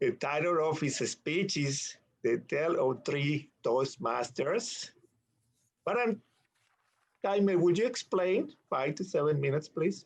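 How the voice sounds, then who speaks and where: A very slow, lively intonation with a non-native accent and long, frequent pauses. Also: man, high pitch for a man. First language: not English. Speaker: meeting emcee. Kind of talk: club meeting introduction.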